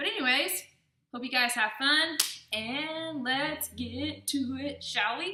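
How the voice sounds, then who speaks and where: Audible room echo surrounds a woman who has a high pitch and ordinary pitch variation. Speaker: fitness vlogger. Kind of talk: workout tutorial. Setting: voiceover. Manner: casual, filler-heavy.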